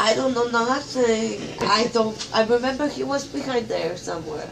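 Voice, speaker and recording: Noticeable background noise sits under a woman's voice. She speaks at a moderate pace. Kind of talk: casual rambling chat. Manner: groggy, slurred post-anesthesia speech. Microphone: phone near.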